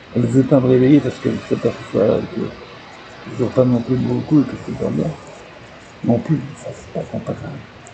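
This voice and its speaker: A man at a medium pitch and fairly quick pace, amid noticeable background noise. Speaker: vlogger. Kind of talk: personal video diary. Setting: at home. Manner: whispering, speaking very quietly; halting, with many hesitations.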